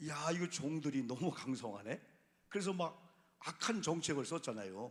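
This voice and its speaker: His fairly high voice for a man rises and falls in very wide pitch swings. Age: 60s. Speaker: pastor. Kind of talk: sermon. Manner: animated.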